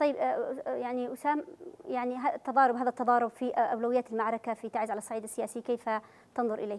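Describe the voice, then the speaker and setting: A woman talks at a very fast pace. Her pitch is high, with ordinary variation. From Yemen. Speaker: TV talk show host. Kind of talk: televised political debate. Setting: studio. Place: studio.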